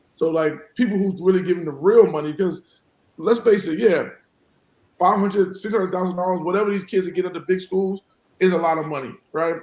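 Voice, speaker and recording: Speaking very fast with long, frequent pauses, a man uses a high pitch and fairly even intonation. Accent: New York. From New York City (South Jamaica, Queens). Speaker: college basketball head coach. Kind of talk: podcast interview.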